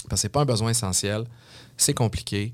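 In a very clean recording with a silent background, a man with a Quebec accent speaks at a fairly low pitch with fairly even intonation. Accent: Québécois French. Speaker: mixologist and entrepreneur. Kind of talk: interview. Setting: studio.

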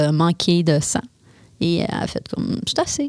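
A woman speaks with a Quebec accent. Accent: Québécois French. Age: 30s. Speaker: woman with paraplegia. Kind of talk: interview. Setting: studio.

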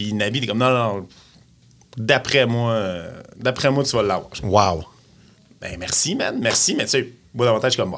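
In a Quebec accent, a man talks at a moderate pace with medium pitch and ordinary pitch variation. Long, frequent pauses break up his speech. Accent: Québécois French. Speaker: radio host. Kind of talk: casual chat.

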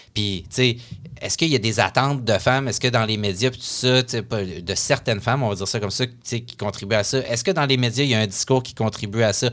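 A man speaks with ordinary pitch variation while music sounds in the background. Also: medium pitch for a man, fairly quick pace. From Quebec City. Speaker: columnist. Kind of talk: casual interview.

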